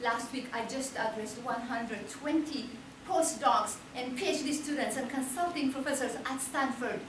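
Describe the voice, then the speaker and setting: A woman speaks in a high pitch. Audible room echo and noticeable background noise surround her voice. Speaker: motivational speaker. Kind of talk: speech. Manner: animated.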